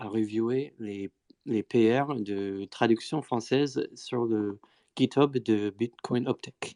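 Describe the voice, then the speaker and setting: A man speaks at a medium pitch in a dark, mellow tone. The background is quiet, and the sound is dry and close with no echo. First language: not French (speaking French). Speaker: Bitcoin Core developer. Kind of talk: technical discussion on live stream. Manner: halting, many fillers.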